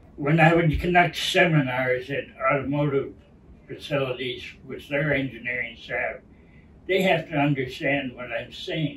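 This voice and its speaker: Fairly high-pitched man, fairly even intonation, big swings in loudness, moderate pace, noticeable background noise. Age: 70s. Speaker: retired engineer and patient. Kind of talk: interview.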